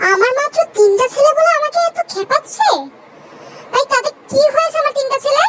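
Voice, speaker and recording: Using a put-on character voice at an extremely high pitch, a woman speaks at a moderate pace with lively intonation in a dry, close sound with no echo. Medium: fan dub.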